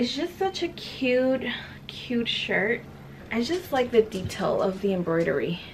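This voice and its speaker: Against noticeable background noise, a woman talks at a fairly slow pace with a high pitch and very wide pitch swings. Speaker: beauty YouTuber. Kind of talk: haul video monologue. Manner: casual with many fillers.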